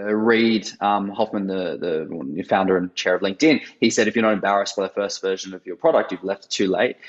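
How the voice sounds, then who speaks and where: The speaker is a man with an Australian accent. His intonation stays fairly even. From Australia, Sydney. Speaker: startup co-founder. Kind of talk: interview. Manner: hesitant, many fillers.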